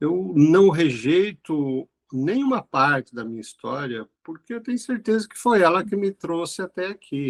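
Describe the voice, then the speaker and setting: A man with a high pitch talks at a fairly slow pace with hardly any pauses, his pitch swinging very widely and his loudness changing greatly, in a dry, close sound with no echo. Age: 60s. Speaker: clinical philosopher and businessman. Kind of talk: interview conversation.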